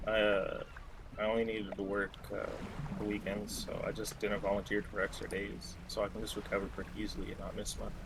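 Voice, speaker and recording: A quiet man at a fairly quick pace, with audible room echo. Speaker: gamer friend. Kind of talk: casual chat.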